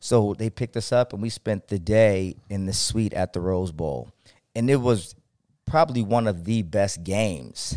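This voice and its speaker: This man talks at a moderate pace in a fairly low voice with a dark, mellow tone and lively intonation. The recording is very clean, with a silent background. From Ohio (Akron). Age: 40s. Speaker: podcast host. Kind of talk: casual chat. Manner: animated.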